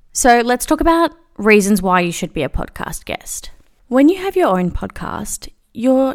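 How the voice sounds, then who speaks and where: Animated in tone, a woman with an Australian accent talks at a moderate pace with very wide pitch swings. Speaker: podcast host and agency founder. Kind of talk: solo podcast episode, scripted-style monologue. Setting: recording while traveling, away from home. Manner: casual, chatty, animated.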